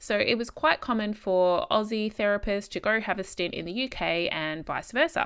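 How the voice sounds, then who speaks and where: A woman with an Australian accent, medium pitch and fairly quick pace, on a very clean recording with a silent background. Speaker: podcast host, speech pathologist. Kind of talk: solo podcast monologue, storytelling. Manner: casual, chatty.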